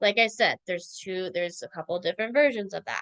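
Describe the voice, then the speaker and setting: A woman with an American accent at a fairly quick pace, ordinary pitch variation, and a dry, close sound with no echo. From Central Minnesota, US. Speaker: online spirituality teacher. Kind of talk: online lecture. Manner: fast; filler-heavy, repetitive.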